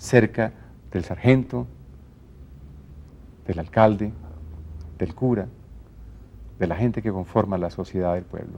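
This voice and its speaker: Pausing long and often, a man with a fairly low pitch and a dark, mellow tone speaks at a fairly slow pace. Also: ordinary pitch variation. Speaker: radio announcer and TV presenter. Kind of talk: interview answer.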